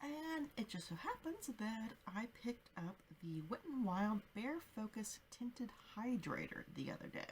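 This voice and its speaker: Soft-spoken, a woman talks at a fairly slow pace. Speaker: beauty vlogger. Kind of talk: product review.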